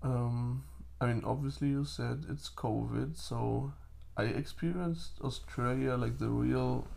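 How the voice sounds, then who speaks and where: Room echo is audible around this man. He speaks fairly slowly with a German accent. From Germany. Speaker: podcast guest. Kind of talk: casual chat.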